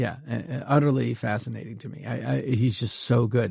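There's a somewhat breathy quality as a man talks at a fairly quick pace with an American accent. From Massachusetts, US. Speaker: comedian and TV writer. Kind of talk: casual interview chat. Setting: home studio.

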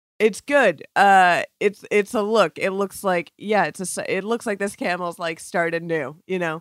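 Captured in a very clean recording with a silent background and a dry, close sound with no echo, a woman with an American accent and a plain, everyday voice speaks at a fairly slow pace, medium in pitch with ordinary pitch variation. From Florida. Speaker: podcast producer. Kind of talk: casual chat.

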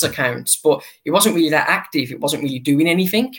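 A man's high-pitched voice with an English accent, ordinary pitch variation and a fairly quick pace. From England. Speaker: baseball fan account runner. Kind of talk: interview. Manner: halting.

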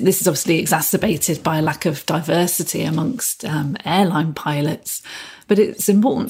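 A woman's fairly low voice with vocal fry, at a fairly quick pace. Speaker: employment lawyer. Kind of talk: professional podcast discussion.

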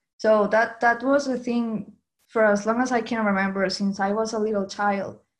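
A woman with a Venezuelan accent, fairly high in pitch, monotone and flat, at a moderate pace. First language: Spanish. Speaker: graphic designer. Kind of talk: interview.

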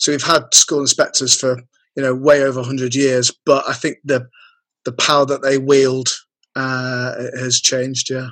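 At medium pitch, a man speaks with monotone, flat intonation at a moderate pace. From Lancashire, England. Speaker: copywriter. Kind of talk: casual interview chat.

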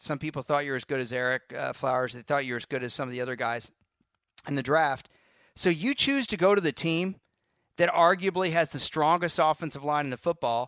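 A normal speaking voice with an American accent at a fairly quick pace, with ordinary pitch variation, on a very clean, dry, close recording with a silent background and no echo. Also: man. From Texas. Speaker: football analyst. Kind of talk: casual chat.

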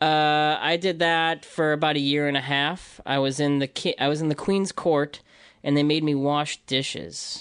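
With an American accent, a man speaks at a moderate pace in a fairly high pitch, his intonation flat and monotone against a quiet background. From US Midwest, Libertyville, Illinois. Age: 30s. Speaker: rapper and animator. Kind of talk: casual chat.

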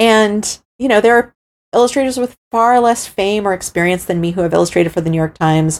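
A woman speaks with a plain, everyday voice at a medium pitch. Her pace is fairly quick, with ordinary pitch variation. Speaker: artist and illustrator. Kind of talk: interview.

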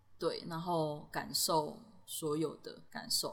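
Speaking very slowly in a Taiwanese accent, a woman uses a fairly low pitch with ordinary pitch variation. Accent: Taiwanese Mandarin. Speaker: backpacker and portrait illustrator. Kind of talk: casual interview. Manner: laughs often.

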